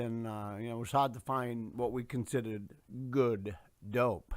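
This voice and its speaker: The recording is very clean and the background silent. On it, a man speaks with an American accent. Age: 60s. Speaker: Vietnam veteran in recovery. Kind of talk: personal testimony. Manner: halting, many fillers.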